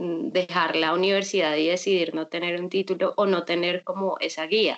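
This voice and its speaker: Speaking at a fairly slow pace, a woman keeps her fairly low voice in fairly even intonation. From Colombia, Bucaramanga (Santander). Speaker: visual artist, painter. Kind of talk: interview conversation.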